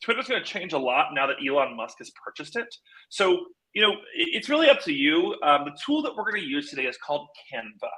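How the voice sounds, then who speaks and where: Raising and projecting his high-pitched voice, a man speaks at a very fast pace with very wide pitch swings and big swings in loudness. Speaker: social media marketing trainer. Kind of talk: live tutorial. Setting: live video stream. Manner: energetic, upbeat.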